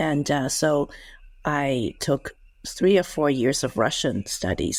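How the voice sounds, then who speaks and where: The recording is very clean, with a silent background. A woman speaks in a Cantonese accent. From Hong Kong, then US from age eleven. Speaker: former intelligence officer. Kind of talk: interview.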